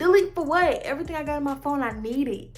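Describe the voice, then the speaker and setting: A woman's animated voice at a fairly quick pace, with noticeable background noise. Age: 20s. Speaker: vlogger. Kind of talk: casual vlog monologue.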